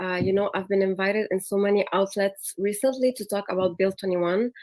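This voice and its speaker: A woman's dark, mellow tone at medium pitch, monotone and flat, at a moderate pace, with a Quebec accent. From Quebec, Canada. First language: French. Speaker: lawyer. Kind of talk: personal testimony in panel. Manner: halting.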